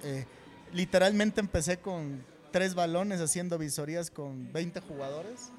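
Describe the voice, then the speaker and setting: A man's high-pitched, fairly slow speech in a central Mexican accent. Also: ordinary pitch variation. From central Mexico (State of Mexico). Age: 40s. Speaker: football coach. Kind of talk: casual interview. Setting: restaurant venue.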